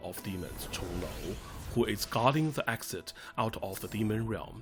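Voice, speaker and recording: Against music in the background, a man with a non-native accent speaks at a moderate pace with lively intonation. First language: Chinese. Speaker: gaming youtuber. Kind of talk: game walkthrough commentary.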